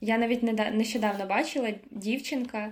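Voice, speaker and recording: Here a woman speaks at a moderate pace. Her pitch is fairly high. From Ukraine (Koziatyn, Vinnytsia region). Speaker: university student. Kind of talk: casual chat.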